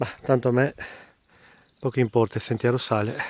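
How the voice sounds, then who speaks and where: A dark, mellow tone at a moderate pace comes through a very clean recording with a silent background and a dry, close sound with no echo. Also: man. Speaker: hiker vlogger. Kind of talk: outdoor vlog narration. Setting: outdoors on a mountain trail.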